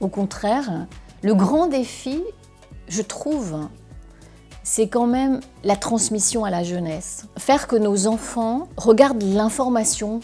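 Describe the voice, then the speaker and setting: A woman speaks at a very slow pace with a fairly high pitch and lively intonation, leaving long, frequent pauses while music plays in the background. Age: 60s. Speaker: war reporter. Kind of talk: interview answer.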